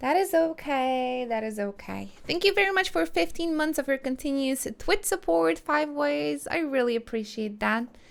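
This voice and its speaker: In a Polish accent, a woman with a high pitch and very wide pitch swings talks at a moderate pace with hardly any pauses. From Poland. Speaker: video game streamer. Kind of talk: live gameplay commentary with reading of game dialogue.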